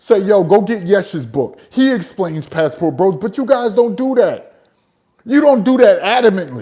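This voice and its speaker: A man with an American accent speaks at a moderate pace, his pitch high for a man. His tone is dark and mellow, and his pitch swings very widely. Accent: New Jersey, comes out at times. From New Jersey, US. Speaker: travel content creator and livestreamer. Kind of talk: livestream rant. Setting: live stream. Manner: animated.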